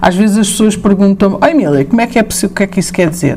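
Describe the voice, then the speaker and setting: A woman speaks with ordinary pitch variation over noticeable background noise and audible room echo. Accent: European Portuguese. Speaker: professor. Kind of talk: lecture. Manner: hesitant, many fillers.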